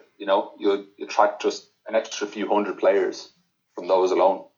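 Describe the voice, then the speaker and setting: A man with an Irish accent speaks at a moderate pace. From Ireland. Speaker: poker player. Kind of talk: casual interview.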